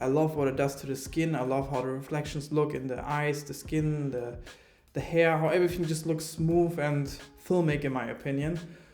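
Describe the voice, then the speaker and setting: Flat, monotone delivery at a moderate pace, with audible room echo. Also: man, fairly high pitch for a man. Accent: German. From Germany. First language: German. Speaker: filmmaker reviewing camera gear. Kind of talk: product review. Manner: hesitant, many fillers.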